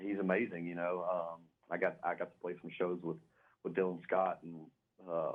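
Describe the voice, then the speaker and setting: Very deep, low male voice in a Southern US accent, fairly quick and monotone, flat in intonation. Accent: Southern US, noticeable. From Louisiana (West Monroe). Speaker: country singer. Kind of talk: radio interview. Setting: phone call.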